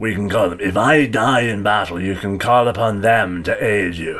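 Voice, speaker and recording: Putting on a character voice, a man speaks raspy and fairly low at a moderate pace. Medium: actual play. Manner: formal, clipped and stern.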